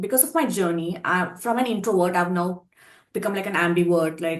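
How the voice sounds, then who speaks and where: A woman with an Indian accent speaks at a medium pitch with lively intonation. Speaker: pageant contestant. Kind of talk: interview.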